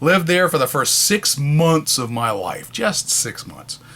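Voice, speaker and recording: Fairly slow speech from a man with a fairly high pitch, amid noticeable background noise. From New Hampshire, New England. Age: 50s. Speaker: local political candidate. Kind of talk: campaign video monologue. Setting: home office.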